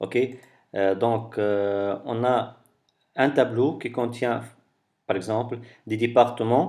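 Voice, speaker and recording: Against a quiet background, a man speaks at a very slow pace with fairly even intonation and long, frequent pauses. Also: medium pitch for a man. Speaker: tech tutorial creator. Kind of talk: tutorial. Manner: halting, many fillers and repetitions.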